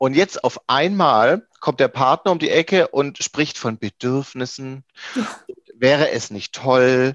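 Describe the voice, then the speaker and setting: In a dry, close sound with no echo, a man speaks very slowly at a fairly high pitch with ordinary pitch variation. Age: 30s. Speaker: IT professional and coach. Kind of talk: interview conversation. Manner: hesitant, many fillers.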